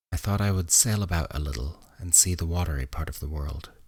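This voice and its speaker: Soft-spoken and somewhat breathy, a man talks at a moderate pace in a very deep, low voice on a very clean recording with a silent background. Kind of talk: sleep story reading. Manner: soft-spoken, quiet, low; not whispered.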